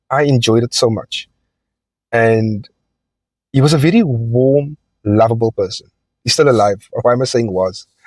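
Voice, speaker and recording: Recorded with a dry, close sound and no echo, a man speaks with long, frequent pauses. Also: medium pitch for a man, ordinary pitch variation, moderate pace. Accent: South African. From South Africa, Cape Town (Elsies River). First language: Afrikaans. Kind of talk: personal testimony monologue. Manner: hesitant, many fillers.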